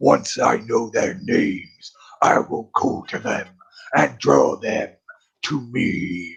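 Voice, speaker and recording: A man speaks at a very slow pace in a put-on character voice. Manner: menacing, eerie.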